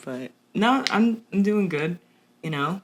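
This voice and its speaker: A woman talks fairly slowly. Background noise is noticeable throughout. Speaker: podcast co-host. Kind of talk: casual chat. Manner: animated.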